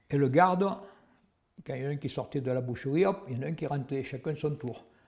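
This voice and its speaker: A man's somewhat breathy, medium-pitched voice with ordinary pitch variation. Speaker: WWII witness. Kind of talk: testimony. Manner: halting.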